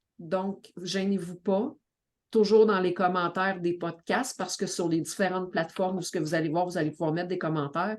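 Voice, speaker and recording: A woman with a Quebec accent and fairly even intonation. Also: medium pitch for a woman, moderate pace. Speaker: community organization director and family coach. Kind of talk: podcast introduction.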